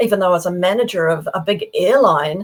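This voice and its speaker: With a New Zealand accent, a woman speaks at a fairly quick pace. Her intonation is lively. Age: 70s. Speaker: professional speaker and author. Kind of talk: interview. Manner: animated.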